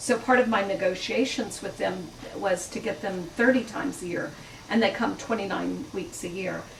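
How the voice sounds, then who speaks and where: A woman with an American accent speaks at medium pitch and a moderate pace, with ordinary pitch variation. Noticeable background noise and audible room echo surround her voice. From Mississippi, Natchez. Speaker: chef and cookbook author. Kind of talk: book talk Q&A. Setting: bookstore event with audience.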